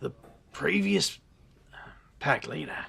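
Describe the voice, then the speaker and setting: A man whispering in a raspy, put-on character voice. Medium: audio drama. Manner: hesitant, halting.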